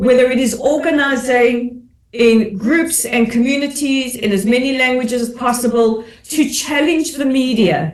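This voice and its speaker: Audible room echo around speech of medium speed and ordinary pitch variation. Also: woman, high pitch for a woman. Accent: South African. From South Africa. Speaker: commentator and advocate. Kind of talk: webinar panel discussion.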